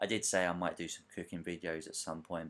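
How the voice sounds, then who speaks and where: In a British accent, a man talks with a very deep, low pitch. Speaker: author and gaming podcaster. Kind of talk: casual voiceover commentary over gameplay. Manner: casual, hesitant with fillers.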